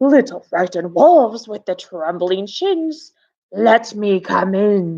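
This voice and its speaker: Against a quiet background, a woman with a medium pitch performs a put-on character voice. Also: fairly slow pace. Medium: read story. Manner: menacing, taunting.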